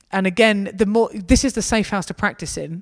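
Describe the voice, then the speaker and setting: This woman has a southern English accent. Her voice is at a medium pitch. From southern England. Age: 30s. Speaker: student mission leader. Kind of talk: church talk with Q&A.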